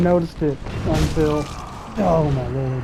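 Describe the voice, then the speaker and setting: In a strong Southern US accent, the speaker sounds animated over noticeable background noise. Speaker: gaming YouTuber. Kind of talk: let's play commentary. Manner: casual, animated. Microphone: cheap headset.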